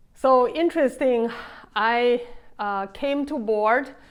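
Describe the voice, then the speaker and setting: Talking at a very slow pace, a woman speaks with a Chinese accent. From China. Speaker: vlogger. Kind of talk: casual vlog monologue. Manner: halting, many fillers.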